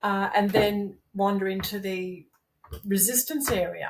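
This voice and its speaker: A woman's somewhat breathy, medium-pitched voice with an Australian accent. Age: 60s. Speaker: masters powerlifter. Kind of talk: casual interview chat. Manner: animated.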